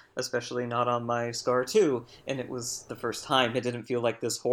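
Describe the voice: What you hear is plain reading aloud.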